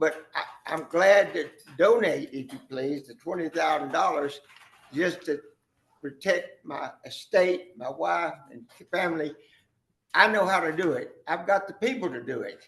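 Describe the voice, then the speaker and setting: Speaking at a fairly slow pace in an American accent, a man with a high-pitched voice makes big swings in loudness. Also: ordinary pitch variation. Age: 80s+. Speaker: developer addressing county court. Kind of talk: public meeting statement. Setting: county commissioners court meeting.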